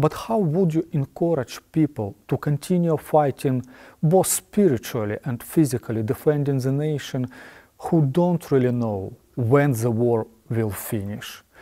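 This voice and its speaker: A man with a dark, mellow tone and lively intonation speaks at a fairly slow pace over a quiet background. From Ukraine. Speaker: ministry representative; interviewer. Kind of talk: interview. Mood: earnest, serious.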